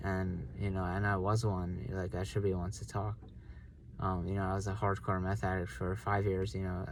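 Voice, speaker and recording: The speaker moves at a moderate pace. The voice is somewhat breathy. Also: man. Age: 30s. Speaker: author talking about his memoir. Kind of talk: personal monologue. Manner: hesitant, many fillers.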